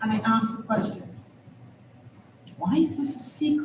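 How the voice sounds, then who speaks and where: A woman talks with a Trinidadian accent. Noticeable background noise and audible room echo surround her voice. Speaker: panel moderator, academic. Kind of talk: conference panel moderation.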